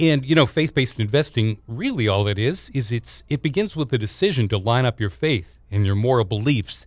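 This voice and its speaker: An unremarkable speaking voice belongs to a man at a medium pitch with lively intonation. He talks at a moderate pace on a very clean recording with a silent background. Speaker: radio host. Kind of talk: radio interview, show intro and outro.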